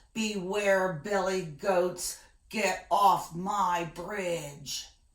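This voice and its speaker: A loud, bellowing put-on character voice at a very slow pace. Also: woman, medium pitch for a woman. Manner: bellowing, loud.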